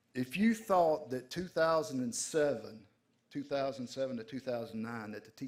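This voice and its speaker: At a moderate pace, a man with a Southern US accent speaks at medium pitch with ordinary pitch variation. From rural Georgia. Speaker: trucking executive. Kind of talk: panel speech. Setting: stage with audience.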